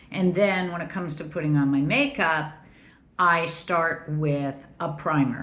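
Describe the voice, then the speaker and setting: A woman speaks at a fairly slow pace, with audible room echo. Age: 60s. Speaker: beauty YouTuber. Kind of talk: makeup product review. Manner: casual, chatty.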